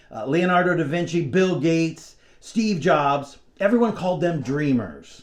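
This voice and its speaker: A man with a plain, everyday voice, fairly high in pitch, with lively intonation. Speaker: mentalist performer. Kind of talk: motivational talk to camera.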